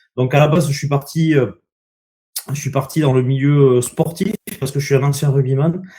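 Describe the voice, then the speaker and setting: A man's somewhat breathy, dark, mellow voice, fairly high in pitch, fairly quick and with fairly even intonation. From southwest France, Landes. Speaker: association founder, former rugby player. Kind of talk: online conference talk. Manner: hesitant, many fillers.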